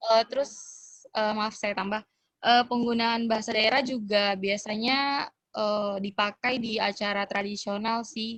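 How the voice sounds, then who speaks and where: At a fairly slow pace, a woman with a Papuan accent speaks at a fairly high pitch with fairly even intonation, in a dry, close sound with no echo. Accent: Papuan Indonesian. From Papua, Indonesia. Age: young. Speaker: cultural exchange guest. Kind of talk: casual interview. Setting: video call. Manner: halting, many fillers.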